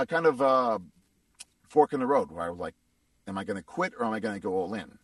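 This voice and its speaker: A man with an American accent talks at a very fast pace. His voice has vocal fry, and the sound is dry and close with no echo. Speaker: voice actor. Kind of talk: interview.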